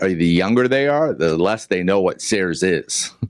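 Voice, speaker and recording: A man speaks with an American accent at a moderate pace. His intonation is lively. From Boston. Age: 60s. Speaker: podcast host. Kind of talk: interview.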